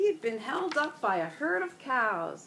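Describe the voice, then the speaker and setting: The speaker uses a put-on character voice with very wide pitch swings at a moderate pace. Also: woman. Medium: read story.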